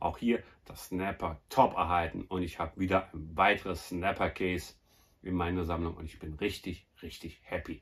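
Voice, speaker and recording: Somewhat breathy and very deep, a man's low-pitched voice rises and falls sharply in loudness. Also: moderate pace. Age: 40s. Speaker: YouTuber, film collector; YouTuber. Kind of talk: casual vlog presentation. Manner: animated. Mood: happy, enthusiastic about finds. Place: home room. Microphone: phone near.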